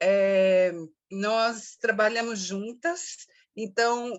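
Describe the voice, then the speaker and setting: Her intonation is fairly even. The speaker is a woman. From Brazil, São Paulo. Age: 60s. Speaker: activist and poet. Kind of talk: interview. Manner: halting, many fillers.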